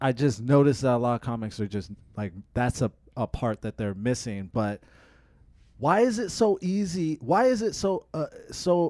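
Dark and mellow in tone, a man with an American accent uses lively intonation at a fairly slow pace. The recording is very clean, with a silent background. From Tacoma, Washington. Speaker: podcast host. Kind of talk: casual chat.

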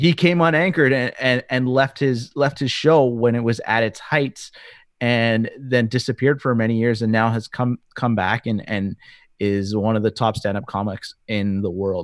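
A man's medium-pitched voice at a moderate pace, with ordinary pitch variation, in a dry, close, very clean recording with no echo and a silent background. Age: 30s. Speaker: podcast co-host, former broadcaster. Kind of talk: casual chat.

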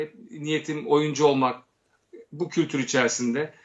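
In a normal speaking voice, a man with a fairly high pitch for a man talks at a moderate pace. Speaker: actor, director and satirical producer. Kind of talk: casual interview chat.

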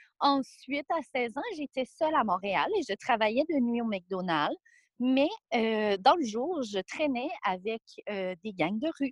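A woman's high voice, very slow, with very wide pitch swings. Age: 20s. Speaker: guest sharing life story. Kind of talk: testimony.

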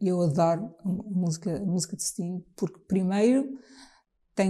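A woman's somewhat breathy voice at medium pitch, dark and mellow in tone, at a moderate pace. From Trás-os-Montes, Portugal (Bragança). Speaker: jazz singer. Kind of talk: casual chat. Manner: halting.

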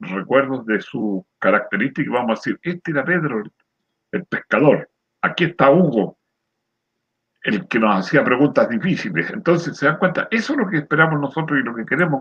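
Using vocal fry and very wide pitch swings, a man at a medium pitch talks at a moderate pace. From Chile, rural area near San Antonio. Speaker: retired lay preacher, program co-host. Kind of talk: religious discussion.

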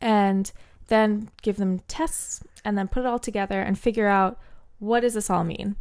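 Speaking at a moderate speed, a woman has a plain, everyday voice pitched in the middle range. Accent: American. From New Jersey and Bermuda. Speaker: neuroscientist. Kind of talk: casual interview chat.

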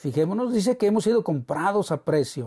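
The voice has a warm tone. The background is quiet. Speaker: preacher. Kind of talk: sermon. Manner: warm, earnest, pastoral tone, unhurried and exhorting; formal, reverent.

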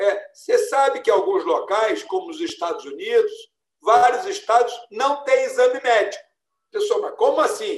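Moving at a moderate pace, a man talks with very wide pitch swings. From Brazil, São Paulo state (Ribeirão Preto, then São Paulo city). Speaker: retired army general and federal deputy. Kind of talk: interview.

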